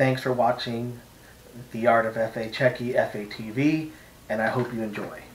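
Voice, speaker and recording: A man's medium-pitched voice with an American accent and fairly even intonation. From United States. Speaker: artist teaching painting. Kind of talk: painting tutorial vlog. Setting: home art studio. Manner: hesitant, many fillers.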